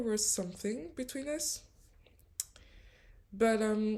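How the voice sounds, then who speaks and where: A woman with a French accent talks at a fairly slow pace. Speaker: spiritual coach. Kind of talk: storytelling vlog. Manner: hesitant, many fillers.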